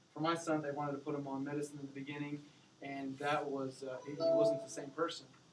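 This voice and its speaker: A man's fairly high voice, fairly quick and monotone, with audible room echo and noticeable background noise. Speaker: parent sharing story as guest speaker. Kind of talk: classroom talk. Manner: halting.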